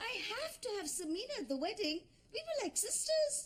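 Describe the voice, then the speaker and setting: A squeaky, put-on character voice from a woman, extremely high in pitch, with very wide pitch swings at a moderate pace. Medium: short film. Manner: dry, matter-of-fact.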